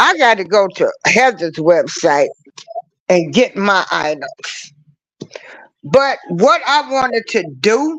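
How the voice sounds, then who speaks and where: A woman speaks at a very slow pace, her pitch swinging very widely between long, frequent pauses. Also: fairly high pitch for a woman. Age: 60s. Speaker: YouTube live stream host. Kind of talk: casual live stream talk. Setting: live stream. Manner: firm, stern tone.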